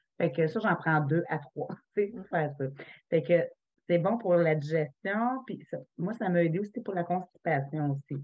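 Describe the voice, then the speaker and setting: Over a quiet background, a woman with a fairly low pitch talks at a fairly slow pace, using lively intonation and long, frequent pauses. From Quebec. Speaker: essential oils consultant; presenter. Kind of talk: online workshop presentation. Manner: casual. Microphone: webcam.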